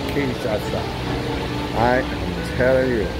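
Loud background noise fills the recording. A man speaks at a very slow pace. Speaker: tour vlogger. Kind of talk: casual vlog chat. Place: bar. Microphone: phone near.

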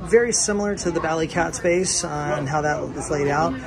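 A man speaks with fairly even intonation. Background noise is clearly audible.

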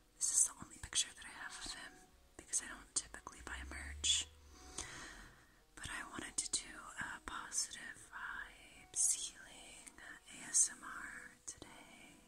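Whispering at a fairly slow pace, with long, frequent pauses. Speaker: ASMR creator. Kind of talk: ASMR video. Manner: whispered. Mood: calm, gentle, soothing. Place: home room.

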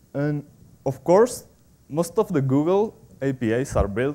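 Speaking at a fairly slow pace with a Spanish accent, this man uses ordinary pitch variation. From Spain. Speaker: software developer, conference speaker. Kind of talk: technical conference talk. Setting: stage with audience. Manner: halting, with frequent fillers and repetitions. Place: hall. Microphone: podium.

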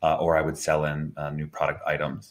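A man with a very deep, low voice and an American accent. He talks at a fairly quick pace. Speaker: marketing executive. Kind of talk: interview. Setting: video call.

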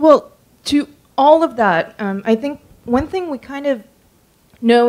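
A woman with an ordinary speaking voice uses lively intonation and keeps a moderate pace. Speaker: writer; panelist. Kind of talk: lecture. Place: hall. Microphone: handheld.

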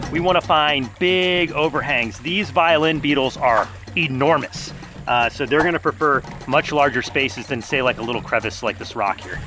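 A man at a moderate pace, with clear music in the background and a dry sound with no echo. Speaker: wildlife show host. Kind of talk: presenter commentary. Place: forest.

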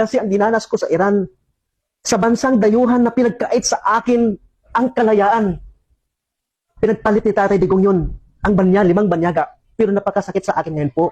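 Long, frequent pauses mark a man's speech, delivered in a high pitch with a dark, mellow tone. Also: ordinary pitch variation, fairly quick pace. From Philippines. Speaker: former overseas worker. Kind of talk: public appeal.

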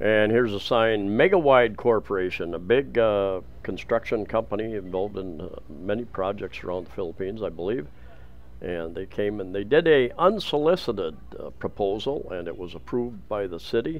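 A man speaks at a moderate pace in a fairly low voice. His loudness swings widely. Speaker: travel vlogger. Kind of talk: casual walking vlog commentary. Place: market. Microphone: phone near.

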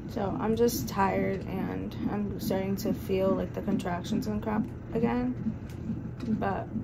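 A woman speaks fairly slowly while loud background noise fills the clip. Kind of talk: casual vlog chat. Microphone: phone near.

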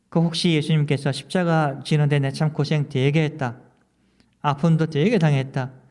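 A man speaks at a moderate pace in an unremarkable speaking voice, fairly high in pitch, with fairly even intonation and very even loudness. The recording is very clean, with a silent background. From South Korea. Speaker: pastor. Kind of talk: sermon.

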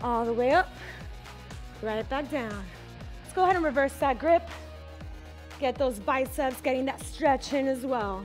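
Over faint background music, a woman talks at a moderate pace with big swings in loudness and long, frequent pauses. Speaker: fitness instructor. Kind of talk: workout class cueing. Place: gym. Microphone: headset.

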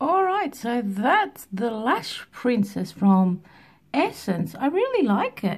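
In a quiet background, a woman speaks at a very slow pace with very wide pitch swings. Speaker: beauty vlogger. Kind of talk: casual makeup tutorial chat. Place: home room. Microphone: phone near.

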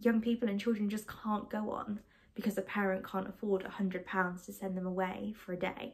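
The tone is slightly mellow with a slightly husky edge. The pace is moderate and the intonation fairly even. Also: woman.

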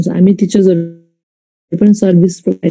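A woman speaks at a medium pitch with a dark, mellow, somewhat breathy tone. Her intonation stays fairly even over a quiet background. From Nepal. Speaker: school teacher. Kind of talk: classroom lesson. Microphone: video call.

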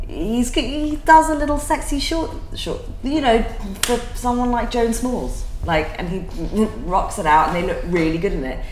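Over clear background noise, a woman talks at a moderate pace with few pauses, a fairly high pitch and ordinary pitch variation.

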